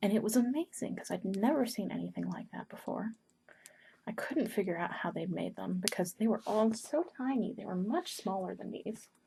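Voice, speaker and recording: A woman talks at a fairly quick pace with a fairly high pitch. Her tone is dark and mellow, with vocal fry. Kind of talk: ASMR paper-folding ramble to camera.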